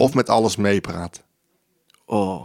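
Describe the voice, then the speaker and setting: In an ordinary speaking voice, a man talks at a fairly slow pace with ordinary pitch variation, the sound dry and close with no echo. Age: 30s. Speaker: comedian and podcast host. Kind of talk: casual interview.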